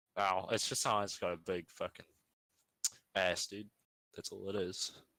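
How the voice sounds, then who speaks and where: The speaker talks at a moderate pace in a New Zealand accent. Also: man. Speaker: stream guest. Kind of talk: casual chat.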